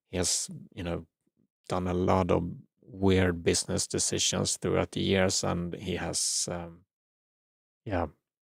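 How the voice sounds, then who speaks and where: Very deep and low, a man's voice with a non-native accent moves at a very slow pace, the sound dry and close with no echo on a very clean recording with a silent background. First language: not English. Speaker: spirituality channel host. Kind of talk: livestream commentary. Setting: live stream. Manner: halting, many fillers and repeats.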